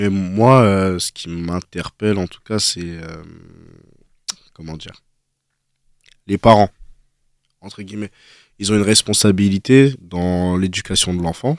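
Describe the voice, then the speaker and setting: A man's fairly low voice, very slow and broken by long, frequent pauses, in a dry, close sound with no echo. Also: ordinary pitch variation, big swings in loudness. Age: 20s. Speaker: young debater. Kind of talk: casual debate.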